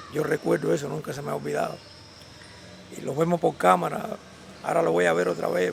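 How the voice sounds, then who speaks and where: A man rattles along at a very fast pace while noticeable noise sounds behind him. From Cuba, Havana. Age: 70s. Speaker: Cuban exile, hauler. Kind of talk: interview testimony.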